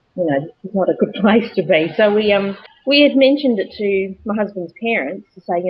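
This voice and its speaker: A woman with an Australian accent speaks at a very fast pace with hardly any pauses, her medium pitch carrying lively intonation. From New South Wales, Australia. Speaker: artist and craft business owner. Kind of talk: casual interview chat.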